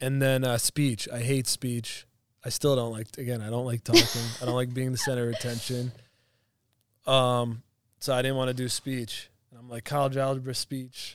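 In an American accent, a man speaks at a moderate pace and a medium pitch with monotone, flat intonation and long, frequent pauses, the sound dry and close with no echo. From Florida, Pinellas County. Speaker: business owner and podcast co-host. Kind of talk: casual chat.

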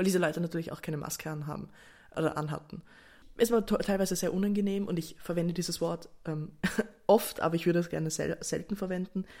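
A woman at a fairly low pitch, talking at a very fast pace. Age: 20s. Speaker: podcaster. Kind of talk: casual solo monologue. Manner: animated.

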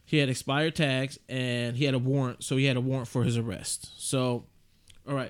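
The voice runs at a fairly quick pace with monotone, flat intonation. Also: man, medium pitch for a man. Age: 30s. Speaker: podcast co-host. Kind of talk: casual chat.

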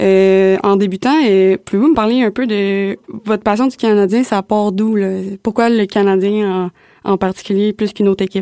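A woman with a normal speaking voice at medium pitch, fairly even intonation, very even loudness and a moderate pace, in a dry, close sound with no echo. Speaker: student podcast host. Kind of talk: casual chat.

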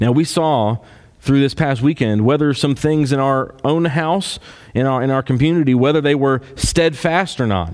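Pitched fairly high, a man speaks with a Kentucky accent. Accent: Kentucky Southern US. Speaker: pastor. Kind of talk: sermon.

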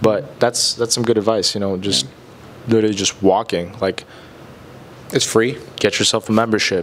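A man with a fairly low pitch and fairly even intonation speaks at a moderate pace with long, frequent pauses over noticeable background noise. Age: 20s. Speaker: podcast co-host. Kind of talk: casual chat.

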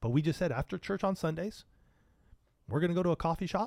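This recording is very clean, with a silent background. The man has an American accent. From Southern California. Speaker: marriage podcaster. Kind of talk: casual interview.

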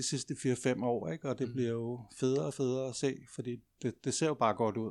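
A man with a normal speaking voice talks at medium pitch and a fairly quick pace. The recording is very clean, with a silent background. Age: 50s. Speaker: living history practitioner and craftsman. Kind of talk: casual interview conversation.

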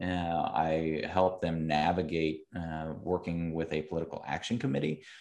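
Speaking at a moderate pace with hardly any pauses, a man with a very deep, low voice has a Midwestern American accent. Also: fairly even intonation, quiet background. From Central Ohio, suburbs of Columbus. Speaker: agricultural policy director. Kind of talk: interview. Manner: hesitant fillers (um, uh, you know).

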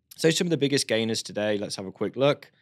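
A man with a British accent makes very wide pitch swings. The recording is very clean, with a silent background. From United Kingdom. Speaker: crypto news presenter. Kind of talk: news presenting video with sponsor read. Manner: animated, casual.

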